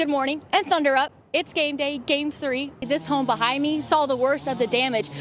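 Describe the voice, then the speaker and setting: A woman with an American accent talks at a moderate pace in a high pitch, her intonation fairly even, with noticeable background noise. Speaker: TV reporter.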